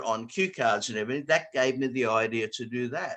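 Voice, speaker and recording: A fairly quick male voice with an Australian accent, medium pitch and ordinary pitch variation. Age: 70s. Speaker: square dance caller and note service writer. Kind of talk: online talk to callers. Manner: halting.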